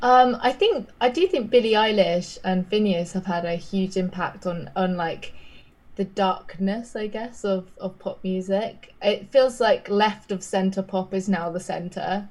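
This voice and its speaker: A woman with a southern English accent talks at a fairly slow pace, her medium-pitched voice somewhat breathy and her intonation fairly even. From southern England. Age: 20s. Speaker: pop singer and songwriter. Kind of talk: casual interview. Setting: remote call from London. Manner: casual, chatty.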